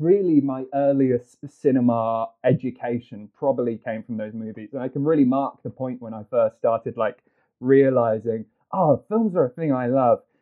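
A man speaks with a British accent at medium pitch and ordinary pitch variation. His loudness swings widely. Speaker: film executive. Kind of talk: casual chat.

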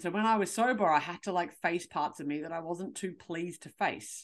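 A woman with an Australian accent and a fairly low pitch speaks in an animated tone with lively intonation at a moderate pace, against a quiet background. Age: 30s. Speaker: podcast host and confidence coach. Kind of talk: solo podcast rant.

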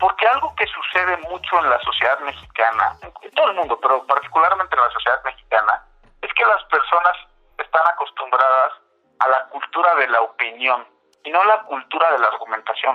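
A man speaks at a high pitch and a fairly quick pace. His intonation is lively. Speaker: political analyst at an NGO. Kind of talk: interview. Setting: phone call. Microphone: phone line.

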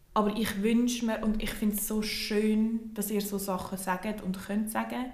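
Delivery is fairly slow and monotone, with flat intonation. Audible room echo and noticeable background noise surround it. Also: woman. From Switzerland. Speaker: podcast co-host. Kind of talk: casual chat.

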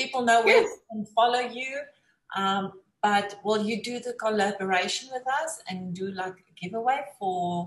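With a South African accent, a woman speaks at a fairly high pitch and a moderate pace, her voice somewhat breathy. Her pitch varies in an ordinary way, while her loudness swings widely. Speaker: talk show host. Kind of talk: casual interview.

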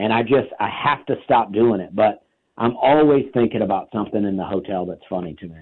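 A man with an unremarkable speaking voice, medium pitch and lively intonation, at a fairly quick pace. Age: 40s. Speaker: stand-up comedian. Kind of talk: interview.

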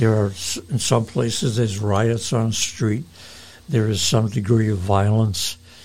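Against noticeable background noise, a man talks at a fairly slow pace with a fairly low pitch, fairly even intonation and very even loudness. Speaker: pastor and radio host. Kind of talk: radio sermon-style talk and interview.

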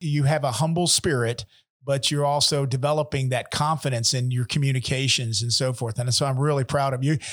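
A man speaks at a fairly quick clip with a fairly high pitch, a warm, somewhat breathy tone, very even loudness and fairly even intonation. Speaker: podcast host. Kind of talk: interview. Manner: warm, conversational.

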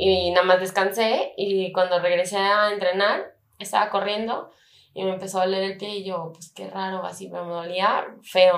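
A woman with a medium-pitched voice speaks at a moderate pace in a monotone, flat intonation, with big swings in loudness. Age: 20s. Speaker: competitive swimmer. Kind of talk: interview.

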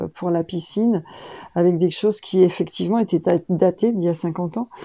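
Her voice is dark and mellow at a medium pitch, as the woman speaks at a fairly slow pace with ordinary pitch variation. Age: 60s. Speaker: school founder and teacher. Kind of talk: interview. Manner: hesitant, many fillers.

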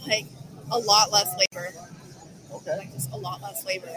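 A woman at a medium pitch with crowd noise in the background. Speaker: detailing instructor. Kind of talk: casual interview.

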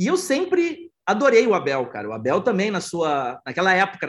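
Speaking at a fairly quick pace, a man has a high pitch for a man. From southern Brazil, Porto Alegre. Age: 40s. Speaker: entrepreneur and football fan. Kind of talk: casual chat. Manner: animated.

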